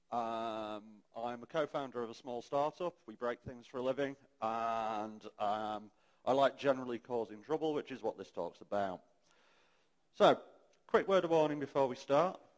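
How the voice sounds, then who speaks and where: A man speaks with a British accent at a medium pitch. His loudness swings a lot. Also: ordinary pitch variation. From UK. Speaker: conference speaker. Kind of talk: conference talk. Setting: stage with audience, amplified. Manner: fast.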